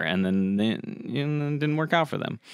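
A man speaks fairly quickly, the sound dry with no echo and the background quiet. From Colorado and Florida, US. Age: 30s. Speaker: podcast host, former cooking show contestant; podcast host. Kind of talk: casual chat. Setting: studio. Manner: animated. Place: studio. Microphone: studio mic.

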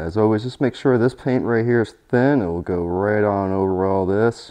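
At a moderate pace, a man speaks at a fairly low pitch with ordinary pitch variation. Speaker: painting instructor. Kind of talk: tutorial. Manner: gets quieter over time.

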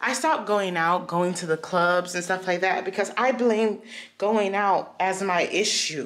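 A woman speaks at a fairly slow pace, and her pitch variation is ordinary. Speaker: vlogger. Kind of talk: casual vlog chat. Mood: frustrated, reflective. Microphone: phone near.

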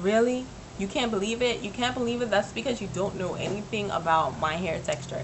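A woman's voice with ordinary pitch variation and noticeable background noise. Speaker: vlogger. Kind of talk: casual vlog chat. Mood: animated, mildly indignant. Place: home room. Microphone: webcam.

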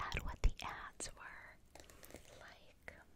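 A whisper at a very slow pace. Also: woman. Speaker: ASMR creator. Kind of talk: ASMR magazine flip-through, casual talk to camera. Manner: whispered.

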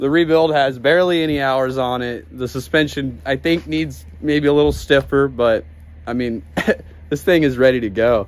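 The speech moves at a moderate pace. Pitch variation is ordinary. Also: man.

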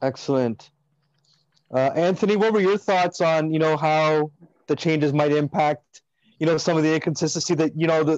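Against a quiet background, a man with a Canadian accent and an unremarkable speaking voice talks at a moderate pace and fairly high pitch with fairly even intonation, the sound dry and close with no echo. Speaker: podcast host. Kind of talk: casual chat.

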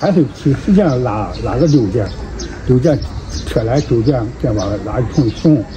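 Noticeable background noise runs behind a man talking at a fairly slow pace. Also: medium pitch for a man, lively intonation. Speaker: farmer doing odd jobs. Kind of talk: interview answer. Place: street. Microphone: phone near.

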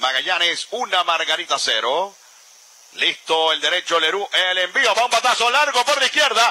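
Man speaking at a fairly slow pace with very wide pitch swings. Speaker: radio sports commentator. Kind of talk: live radio sports commentary of a home run, with an excited call. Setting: stadium broadcast booth, radio.

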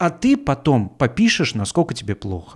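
A man at a moderate pace and medium pitch, with a quiet background. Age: 40s. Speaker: podcast host, comedian. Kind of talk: casual monologue. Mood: ironic, critical, profane. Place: home room. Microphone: studio mic.

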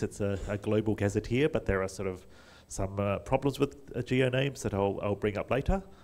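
With an Australian accent, a man speaks using lively intonation. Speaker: conference speaker, wiki volunteer; conference speaker. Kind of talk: conference talk. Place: hall.

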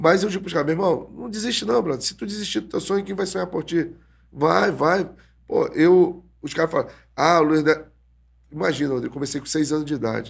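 Talking at a fairly quick clip, a man uses a fairly high pitch with vocal fry and lively intonation. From Brazil. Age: 40s. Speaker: jiu-jitsu instructor. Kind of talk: casual interview. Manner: halting, repeated words. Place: studio. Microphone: studio mic.

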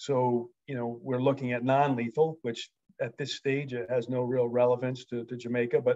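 Speaking at a medium pitch, a man talks with an American accent. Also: quiet background. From United States. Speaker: wildlife management expert. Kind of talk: presentation. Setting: video call. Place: home room. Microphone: video call.

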